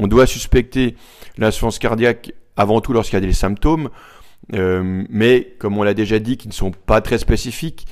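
The man speaks at a moderate pace in a fairly low voice with ordinary pitch variation. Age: 40s. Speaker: cardiologist. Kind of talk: interview, medical explanation. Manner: hesitant, many fillers.

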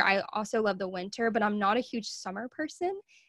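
A woman with a Southern US accent talks fairly quickly at a fairly high pitch with ordinary pitch variation, in a very clean recording with a silent background. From US South, Arkansas. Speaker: podcast host and small business owner. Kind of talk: casual interview chat. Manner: laughs often.

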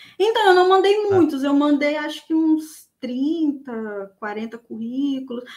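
A woman with a high voice speaks very slowly. Her intonation is lively. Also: hardly any pauses. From Espírito Santo, Brazil. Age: 30s. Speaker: junior software tester, former student. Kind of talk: live interview, personal story. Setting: online live stream.

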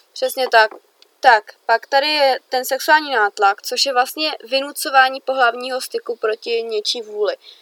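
A woman speaks with a high pitch and a bright, sharp tone at a fairly slow pace. The sound is dry and close with no echo, and her pitch varies in an ordinary way. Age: young. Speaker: podcast co-host. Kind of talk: casual chat.

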